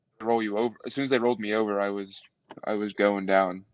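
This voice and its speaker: With an American accent, a man speaks at a fairly quick pace and fairly low pitch. His intonation stays monotone and flat. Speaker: fitness influencer. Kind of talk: podcast interview. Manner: halting.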